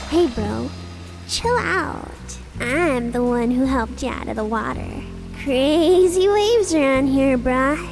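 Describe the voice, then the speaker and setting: A female-sounding put-on character voice speaks at a fairly slow pace. Loud music plays in the background. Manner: chill, drawling surfer slang.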